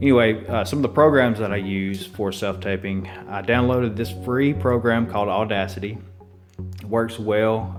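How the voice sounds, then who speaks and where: Music plays in the background as a man talks with an Alabama accent. His intonation stays fairly even. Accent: Southern US, Alabama. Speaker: actor. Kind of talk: casual tutorial talk to camera.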